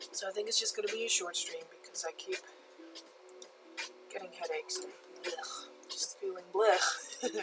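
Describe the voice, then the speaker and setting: There is music in the background as a woman speaks. She leaves long, frequent pauses. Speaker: photo retoucher streaming live. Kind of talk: casual live stream chat. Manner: slow, relaxed.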